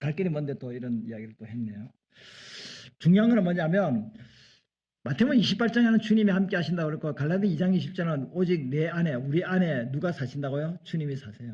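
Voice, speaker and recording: With very wide pitch swings and a dark, mellow tone, a man speaks at a very fast pace. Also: fairly high pitch for a man. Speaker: pastor. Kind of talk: sermon.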